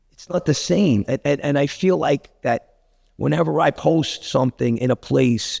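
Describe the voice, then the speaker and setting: A man's medium-pitched voice with vocal fry, a Brooklyn accent and a moderate pace. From Brooklyn, New York (Bensonhurst/Gravesend). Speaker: actor and director. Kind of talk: casual interview chat. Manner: animated, repetitive stammering.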